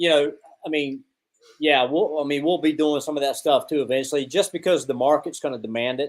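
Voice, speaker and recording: At a fairly quick pace, a man with an ordinary speaking voice talks at a fairly high pitch with fairly even intonation. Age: 50s. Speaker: coffee company representative. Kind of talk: casual chat.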